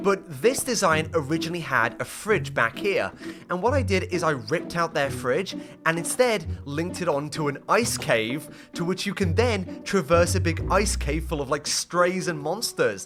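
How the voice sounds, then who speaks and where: Over music in the background, a man with an animated tone speaks at a moderate pace in a fairly high pitch, his pitch swinging very widely. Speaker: gaming YouTuber. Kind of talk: casual gameplay commentary. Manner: excitable, animated.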